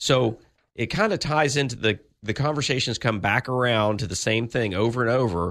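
Against a quiet background, a man with a plain, everyday voice talks at a moderate pace, his medium pitch carrying lively intonation. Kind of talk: radio host patter. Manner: conversational, easygoing, hedging with fillers and restarts.

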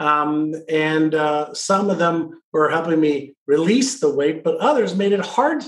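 This is a man with an unremarkable speaking voice. His pitch is fairly high, with ordinary pitch variation. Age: 60s. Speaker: author and peak performance expert. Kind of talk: casual chat.

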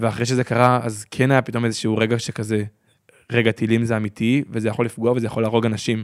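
A man talks at a fairly quick pace with medium pitch. His intonation is monotone and flat, and the recording is very clean with a silent background. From Israel, Gaza border kibbutz. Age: 20s. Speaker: interviewee, local resident. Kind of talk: interview.

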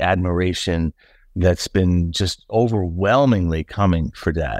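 A very slow-speaking man with a very deep, low voice, an American accent and ordinary pitch variation, on a very clean recording with a silent background. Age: 50s. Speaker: son of a late teacher. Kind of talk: interview.

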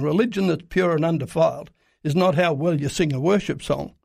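In a very clean recording with a silent background, a man with an Australian accent speaks fairly high, with ordinary pitch variation. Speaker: Middle East reporter. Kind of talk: radio interview. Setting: studio. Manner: halting, many filler uhs.

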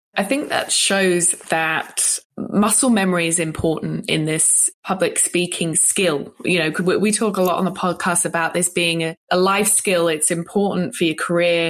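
Using a plain, everyday voice, a woman speaks at a fairly slow pace with a fairly low pitch and fairly even intonation. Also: hardly any pauses. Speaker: podcast host. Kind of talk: interview, casual chat.

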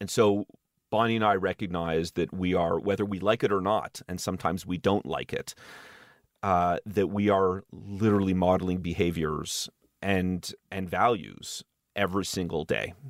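A man with a Montreal accent speaks at a very deep, low pitch and a moderate pace, with fairly even intonation. The sound is dry and close with no echo, on a very clean recording with a silent background. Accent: Montreal English Canadian. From Montreal, Quebec, Canada. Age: 40s. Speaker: tech startup CEO. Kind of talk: interview conversation.

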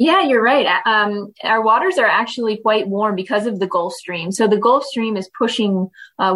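A woman speaks with a Maritime Canadian accent. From Canada (Prince Edward Island). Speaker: tourism representative. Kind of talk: interview.

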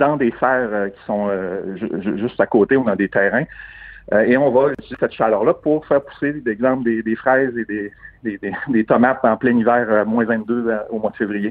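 With a Quebec accent, a man at medium pitch speaks with ordinary pitch variation and long, frequent pauses. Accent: Québécois French. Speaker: tech entrepreneur. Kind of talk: interview.

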